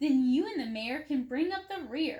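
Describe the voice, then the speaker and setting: A woman's high-pitched put-on character voice at a moderate pace. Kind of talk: bedtime story. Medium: read story. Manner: enthusiastic, eager.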